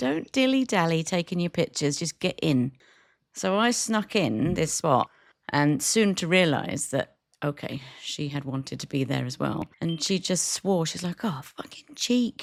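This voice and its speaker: With a British accent, a woman speaks at a fairly low pitch and a fairly slow pace, her pitch swinging very widely. The recording is very clean, with a silent background and a dry, close sound with no echo. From Britain. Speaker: podcast co-host, cafe owner. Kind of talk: casual chat. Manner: animated storytelling.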